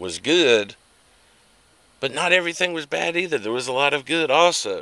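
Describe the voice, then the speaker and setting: A bright, sharp tone with an American accent. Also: man. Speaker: political vlogger. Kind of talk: unscripted political commentary to camera. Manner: slow; halting, with many fillers and repetitions.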